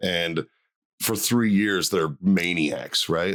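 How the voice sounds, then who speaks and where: In a very clean recording with a silent background, a man with a Boston accent speaks at a fairly slow pace. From Boston, Massachusetts (South Boston). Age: 40s. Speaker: stand-up comedian and former Marine. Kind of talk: casual interview chat. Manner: casual, filler-heavy with repetitions.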